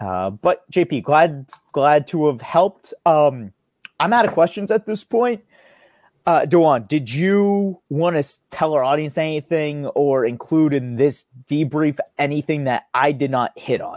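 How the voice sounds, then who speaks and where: The man has a plain, everyday voice and an American accent, with lively intonation. The sound is dry and close, without echo. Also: fairly high pitch for a man, fairly slow pace. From United States. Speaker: test prep webinar host. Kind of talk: audience Q&A; interview. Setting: video call.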